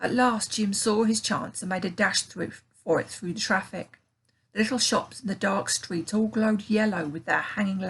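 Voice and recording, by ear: Here someone is reading aloud in a natural voice. The intonation is fairly even and the background is quiet.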